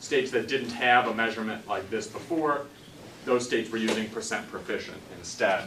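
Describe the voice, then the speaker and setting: Fairly quick speech amid audible room echo and noticeable background noise. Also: man, medium pitch for a man, ordinary pitch variation. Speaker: education policy researcher. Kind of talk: lecture. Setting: seminar room with audience. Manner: loud.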